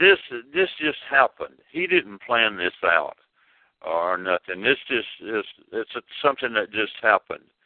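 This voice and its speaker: A man speaks at a fairly slow pace in a medium pitch, his voice swinging very widely up and down. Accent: Tennessee. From Jackson, Tennessee. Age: 70s. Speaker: rockabilly singer. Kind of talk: interview. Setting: phone call. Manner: halting.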